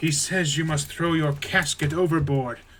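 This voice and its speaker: A man's put-on character voice, fairly high-pitched, at a moderate pace with monotone, flat intonation. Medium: game stream. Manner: sly, deceitful.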